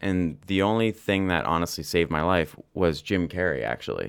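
A man's very deep, low voice moves at a moderate pace with ordinary pitch variation. The recording is very clean, with a silent background. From Canada (London, Ontario). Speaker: actor and artist. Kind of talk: casual interview chat.

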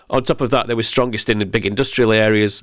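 A man with an English accent talks at a very fast pace in a fairly low, monotone, flat voice on a very clean recording with a silent background. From England. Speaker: beer writer. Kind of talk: interview.

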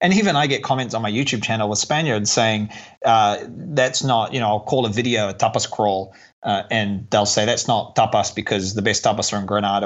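This man has an unremarkable speaking voice. He talks fairly quickly, with ordinary pitch variation. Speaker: YouTube travel creator and tour company founder. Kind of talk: casual interview chat.

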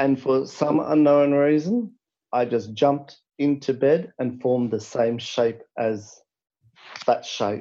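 At a very slow pace, a man with an Australian accent speaks at a medium pitch, his dark, mellow tone showing ordinary pitch variation. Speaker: caller. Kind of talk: storytelling. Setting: phone call.

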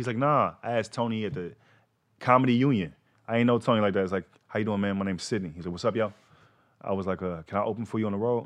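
With an American accent and fairly low pitch, a man speaks very fast with ordinary pitch variation and long, frequent pauses. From Texas, Fort Worth. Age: 30s. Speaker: comedian. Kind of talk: casual chat.

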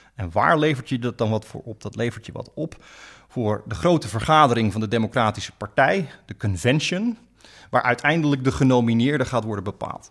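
Using a normal speaking voice at a medium pitch, a man talks at a fairly quick pace with big swings in loudness. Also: lively intonation. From Friesland, Netherlands. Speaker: law professor and US politics expert. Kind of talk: podcast interview explaining politics.

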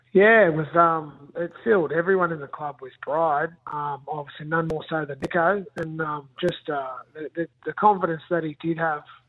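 A man's fairly high voice with an Australian accent, at a moderate pace with hardly any pauses and fairly even intonation. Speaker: rugby league coach. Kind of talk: radio interview.

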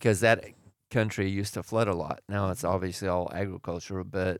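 In a very clean recording with a silent background, a man with an American accent uses an ordinary speaking voice, fairly low in pitch and with fairly even intonation. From Oregon. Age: 60s. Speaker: host's father, churchgoer. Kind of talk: casual chat.

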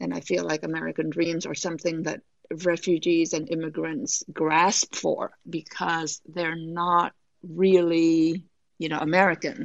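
In a Vietnamese accent, a woman talks at a fairly low pitch and a fairly slow pace with fairly even intonation. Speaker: author. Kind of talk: casual interview.

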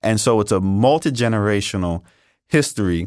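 A man's fairly low voice with an American accent, an ordinary speaking voice, fairly quick, on a very clean recording over a silent background. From New York City, Brooklyn. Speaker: history professor. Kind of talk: interview.

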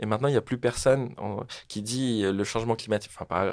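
A man's fairly quick delivery, with fairly even intonation, is captured on a very clean recording with a silent background. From French Polynesia (Tahiti). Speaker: social entrepreneur. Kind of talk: interview. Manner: casual, hesitant with fillers.

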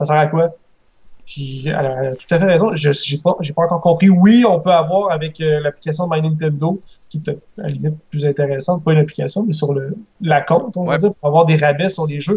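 Fairly quick speech from a man with a fairly high pitch and fairly even intonation. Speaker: gaming podcast panelist. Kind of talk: casual panel discussion. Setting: remote call over Skype. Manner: halting, repeats words.

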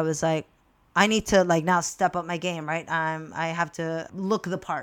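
A woman with an American accent and a plain, everyday voice speaks at a moderate pace in a fairly low pitch. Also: very clean recording, silent background. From Peru, raised in the US from age six. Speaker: wedding officiant, former teacher. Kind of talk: casual interview.

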